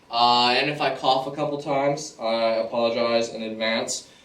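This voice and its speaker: The speech is flat and monotone at a moderate pace, with audible room echo and noticeable background noise. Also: man. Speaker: pool trick shot player. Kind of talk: tutorial. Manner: casual, filler-heavy.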